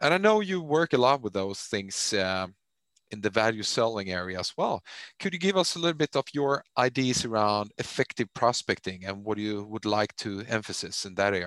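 A man with a Swedish accent speaks at a moderate pace and a fairly low pitch, the sound dry and close with no echo against a quiet background. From Sweden. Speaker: podcast host and managing director. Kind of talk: interview. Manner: halting with fillers.

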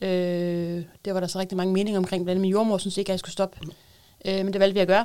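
A woman with a dark, mellow tone and medium pitch talks very fast in a monotone, flat intonation. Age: 30s. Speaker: mother with a psychiatric diagnosis. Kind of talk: casual chat. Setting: studio.

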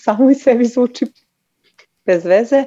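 A woman's dark, mellow tone with ordinary pitch variation at a moderate pace. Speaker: caller. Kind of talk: call-in conversation.

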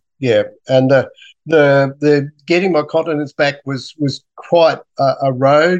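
In an Australian accent, a man with a fairly high pitch talks at a moderate pace, the sound dry and close with no echo. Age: 60s. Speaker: scientist and cancer patient. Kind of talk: interview. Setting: video call. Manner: halting, many fillers. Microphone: poor Zoom audio.

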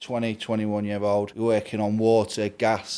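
A man's fairly low-pitched voice with a dark, mellow tone and a Lincolnshire accent. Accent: Lincolnshire (Grimsby) English. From Grimsby, England. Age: 30s. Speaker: heating engineer and business owner. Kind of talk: casual interview chat.

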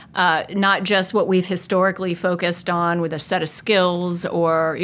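A woman with an American accent in a normal speaking voice, her intonation fairly even. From upstate New York. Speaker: HR executive interviewer. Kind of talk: interview.

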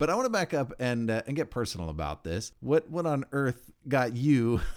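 With lively intonation, a man speaks at a moderate pace in a very clean recording with a silent background. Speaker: podcast host. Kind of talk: interview. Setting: makeshift studio at a summit.

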